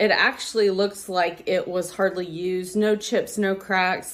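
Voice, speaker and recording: A woman with an American accent, speaking at a very slow pace. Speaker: thrift reseller vlogger. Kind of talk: casual vlog haul. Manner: hesitant, many ums.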